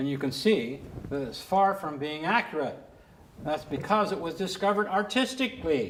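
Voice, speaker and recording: A man with an American accent, a high pitch, and audible room echo. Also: lively intonation, moderate pace. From California. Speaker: artist and retired teacher. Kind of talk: lecture.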